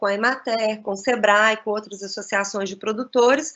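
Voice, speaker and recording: A woman speaks at a moderate pace. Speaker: cheese expert and lecturer. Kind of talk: lecture. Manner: halting.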